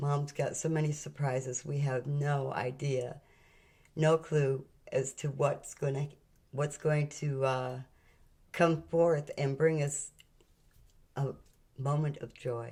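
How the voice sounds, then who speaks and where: Speaking very slowly with long, frequent pauses, a woman uses a very deep, low, somewhat breathy voice with a dark, mellow tone and monotone, flat intonation. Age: 70s. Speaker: spiritual channel host. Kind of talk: spiritual talk.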